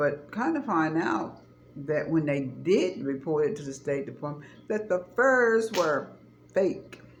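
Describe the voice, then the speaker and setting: In a room with audible echo, a woman with a very deep, low pitch talks at a fairly slow pace in an animated tone, her pitch swinging very widely. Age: 60s. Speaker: vlogger. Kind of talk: casual chat.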